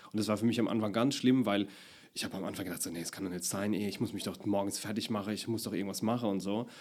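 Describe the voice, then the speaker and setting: The speech moves at a very fast pace with fairly even intonation. The recording is very clean, with a silent background. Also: man. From Palatinate, Deidesheim. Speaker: actor and comedian. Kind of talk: casual interview.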